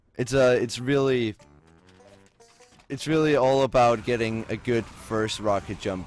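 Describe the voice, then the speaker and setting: A man's voice over music in the background. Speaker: game tutorial maker. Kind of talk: gameplay tutorial narration. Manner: mumbling, hesitant; flat, unenthusiastic.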